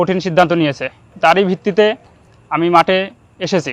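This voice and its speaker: Fairly even intonation comes through in a dry, close recording with no echo. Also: man. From Bangladesh, Kushtia district. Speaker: paramilitary recruit. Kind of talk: recruit testimonial interview.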